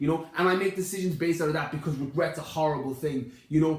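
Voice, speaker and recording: In a west of Ireland accent, the speaker talks at a very fast pace in an animated tone over noticeable background noise. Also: man. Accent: west of Ireland Irish. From Ireland, Connemara (west of Ireland). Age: 20s. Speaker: fitness podcast host. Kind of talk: casual podcast conversation. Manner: animated, emphatic.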